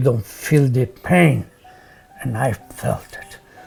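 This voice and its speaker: Music in the background behind a man's voice at medium pitch, its pitch varying in an ordinary way. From Poland. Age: 90s. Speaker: Holocaust survivor. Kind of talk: testimony.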